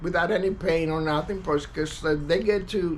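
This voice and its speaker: A man with an American accent, ordinary pitch variation, and audible room echo. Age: 60s. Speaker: war veteran. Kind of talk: personal testimony monologue. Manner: halting, many fillers and repetitions.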